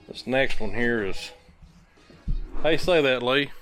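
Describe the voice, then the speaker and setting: Speaking at a very slow pace, a man with a strong East Tennessee accent uses lively intonation. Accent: East Tennessee hillbilly accent, strong. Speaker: woodworking video host. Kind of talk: casual chat. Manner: casual, folksy.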